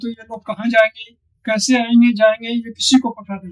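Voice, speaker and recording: A man's extremely high-pitched, monotone voice with flat intonation, dry and close with no echo. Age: 80s+. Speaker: retired official language officer. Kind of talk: interview.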